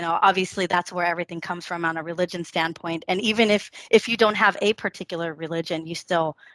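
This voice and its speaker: The woman's tone is bright and sharp, her intonation fairly even. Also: dry, close sound with no echo. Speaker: scientist, podcast guest. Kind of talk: casual chat. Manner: halting, many fillers and restarts.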